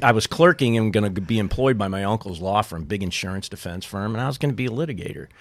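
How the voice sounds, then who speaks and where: Very fast and with hardly any pauses, a man with an American accent and a fairly low pitch talks with lively intonation on a very clean recording with a silent background. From St. Louis, Missouri. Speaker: former baseball team co-owner. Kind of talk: casual chat.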